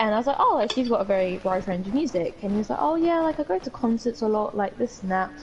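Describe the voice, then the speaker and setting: A woman talks at a very fast pace with hardly any pauses, her fairly high voice lively in intonation. Noticeable background noise runs underneath. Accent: British. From UK. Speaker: podcast co-host. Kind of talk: casual chat.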